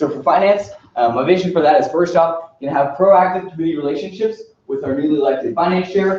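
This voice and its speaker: Speaking at a very fast pace, a man with an American accent has a fairly high pitch and a dark, mellow tone. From Texas, Plano. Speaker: student nominee. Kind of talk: formal presentation. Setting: student senate meeting.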